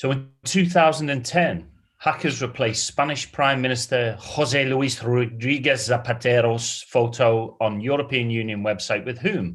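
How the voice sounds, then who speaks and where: With a British accent, a man talks at a moderate pace with hardly any pauses. His voice is somewhat breathy, medium in pitch, with ordinary variation. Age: 40s. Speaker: quiz host. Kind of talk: live quiz hosting. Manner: animated.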